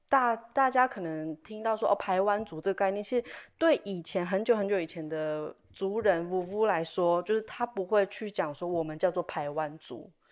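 Recorded very cleanly with a silent background, a woman with an unremarkable speaking voice talks at a moderate pace and medium pitch, with lively intonation and hardly any pauses. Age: young. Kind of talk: casual interview chat.

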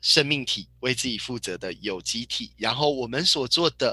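Medium pitch and a bright, sharp tone in a man's voice. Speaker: parenting educator and book club host. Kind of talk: book club lecture.

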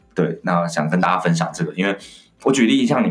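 Music plays in the background. A man speaks over it at a very fast pace. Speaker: communication skills trainer and author. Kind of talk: interview conversation.

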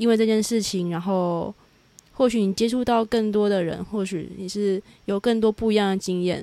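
A woman speaks in a dark, mellow tone at a medium pitch. Her intonation stays fairly even, and her pace is moderate. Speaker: podcast host. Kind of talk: casual interview. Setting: remote call.

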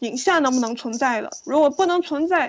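A woman speaks with a high pitch. Her pitch varies in an ordinary way. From China, Yunnan province. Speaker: film director. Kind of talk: interview.

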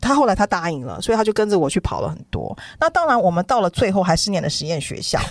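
A woman talks at a very fast pace in an animated tone, her medium pitch jumping through very wide swings with vocal fry, in a dry, close sound with no echo. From Taiwan. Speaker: children's book author. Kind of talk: casual chat.

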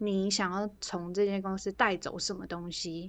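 A woman speaks at a medium pitch with flat, monotone intonation. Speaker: podcast co-host. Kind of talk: casual chat.

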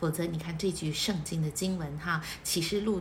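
In a room with audible echo, a woman speaks in an animated tone at a moderate pace with ordinary pitch variation. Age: 40s. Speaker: church member leading weekly bulletin study. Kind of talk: bible study talk.

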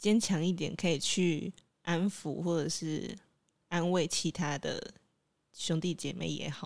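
On a very clean recording with a silent background, a woman with a fairly low pitch speaks at a very slow pace. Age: 20s. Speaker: podcast co-host. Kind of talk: casual chat.

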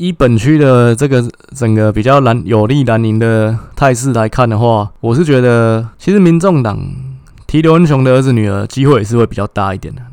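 A man's medium-pitched, normal speaking voice at a moderate pace, with ordinary pitch variation. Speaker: political commentary podcaster. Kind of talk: solo political analysis monologue.

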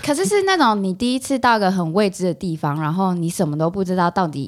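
Using an ordinary speaking voice, a woman talks at a fairly quick pace with fairly low pitch and lively intonation. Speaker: psychology graduate student. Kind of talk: casual chat.

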